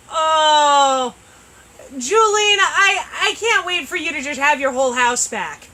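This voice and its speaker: Her voice raised and projected, a woman speaks very slowly at a high pitch with lively intonation. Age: 30s. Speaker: shop owner hosting a live sales show. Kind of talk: live stream product chat. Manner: loud; animated.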